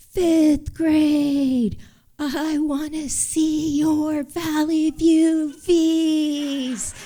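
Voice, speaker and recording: A shouted, high-pitched put-on character voice at a very slow pace. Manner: shouting.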